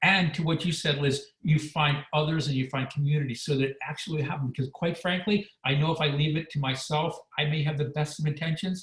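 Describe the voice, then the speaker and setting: A man with a normal speaking voice and a fairly high pitch talks at a fairly quick pace with hardly any pauses and fairly even intonation. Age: 60s. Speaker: former weight-loss reality show contestant, wellness expert. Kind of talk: webinar interview.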